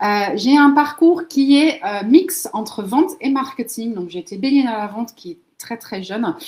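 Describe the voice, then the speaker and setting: Speaking at a fairly slow pace with a Dutch accent, a high-pitched woman shows very wide pitch swings and big swings in loudness. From Netherlands, moved to France very young. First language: Dutch (speaking French). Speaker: LinkedIn marketing trainer, entrepreneur. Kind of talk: webinar presentation. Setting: video call webinar.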